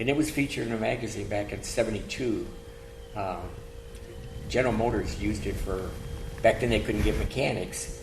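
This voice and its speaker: With music in the background and audible room echo, a man with an American accent talks at a fairly quick pace, broken by long, frequent pauses. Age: 70s. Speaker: classic car owner. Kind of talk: casual interview.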